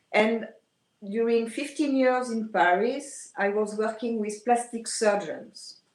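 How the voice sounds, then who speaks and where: A woman with a French accent speaks very slowly, her fairly high pitch held in a fairly even intonation. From France. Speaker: aesthetician. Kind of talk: podcast interview. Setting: video call.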